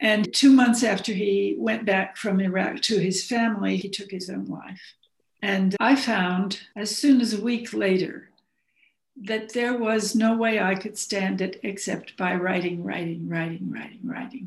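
A woman speaks with an American accent and vocal fry at a fairly slow pace. Her intonation stays fairly even, with audible room echo. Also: medium pitch for a woman. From US Southwest, Arizona (Phoenix). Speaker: novelist and playwright. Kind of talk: interview.

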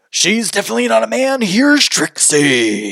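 Using a put-on character voice, a man talks at a moderate pace with a fairly high pitch. His pitch swings very widely. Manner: hyped announcer.

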